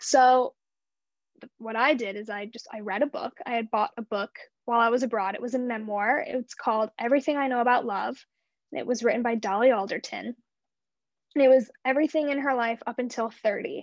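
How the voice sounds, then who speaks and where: The recording is dry and close with no echo, as a woman speaks in a high pitch with ordinary pitch variation and big swings in loudness. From US Midwest, St. Louis area, Missouri. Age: 20s. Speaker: memoir author. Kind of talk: casual interview. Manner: casual, filler-heavy speech.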